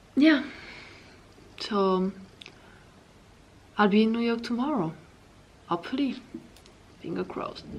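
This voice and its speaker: A woman with a French accent and fairly high pitch talks at a moderate pace with lively intonation and long, frequent pauses. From France. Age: 20s. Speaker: travel vlogger. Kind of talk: vlog. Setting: hotel room. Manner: halting.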